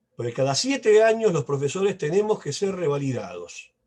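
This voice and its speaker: A man speaks at a moderate pace with a Rioplatense accent, his pitch swinging very widely. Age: 60s. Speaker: professor. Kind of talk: lecture. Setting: video call.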